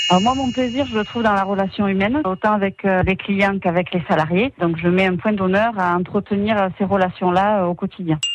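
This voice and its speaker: A woman keeps a moderate pace as music plays in the background. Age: 30s. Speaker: quality manager at a precision engineering company. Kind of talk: radio company profile interview.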